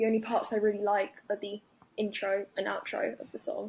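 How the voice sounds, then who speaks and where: A woman with a London accent speaks at a moderate pace. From London, England. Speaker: caller. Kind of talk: voicemail opinion message.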